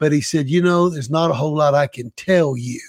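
A Southern US accent at a moderate pace with ordinary pitch variation, in a very clean, dry and close recording with no echo and a silent background. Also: man. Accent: Southern US (Georgia). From US South, Savannah, Georgia. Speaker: missionary. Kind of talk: interview.

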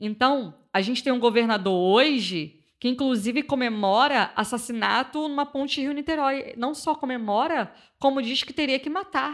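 Heard on a very clean recording with a silent background, the voice has a Carioca accent, lively intonation and a moderate pace. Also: woman, high pitch for a woman. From Rio de Janeiro, Complexo da Maré favela. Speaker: community communicator and activist. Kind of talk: interview.

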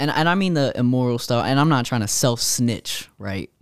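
On a very clean recording with a silent background, a man with an unremarkable speaking voice talks at a moderate pace and medium pitch with ordinary pitch variation. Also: dry, close sound with no echo. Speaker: podcast co-host. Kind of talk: casual chat.

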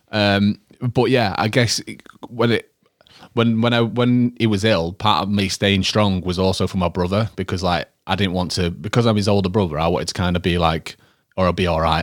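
A man with a Yorkshire accent at a fairly low pitch, ordinary pitch variation and moderate pace, in a very clean recording with a silent background. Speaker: podcast co-host. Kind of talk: casual chat, personal talk about grief.

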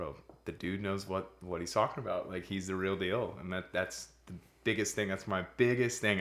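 A man with an American accent speaks in a normal speaking voice at a fairly low pitch. His pace is moderate and his intonation fairly even. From Florida, Pensacola. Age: 20s. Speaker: weight loss athlete. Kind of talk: casual interview.

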